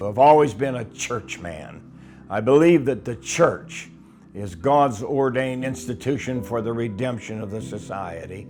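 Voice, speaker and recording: Lively intonation in an American accent, with big swings in loudness and music in the background. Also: man, medium pitch for a man, fairly slow pace. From US, western Pennsylvania. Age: 70s. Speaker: retired pastor. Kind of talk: testimony.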